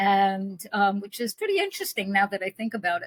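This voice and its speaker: Close and dry with no echo, the sound captures a somewhat breathy woman with an American accent at medium pitch. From New York, Brooklyn. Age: 80s+. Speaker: spiritual intuitive. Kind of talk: podcast interview.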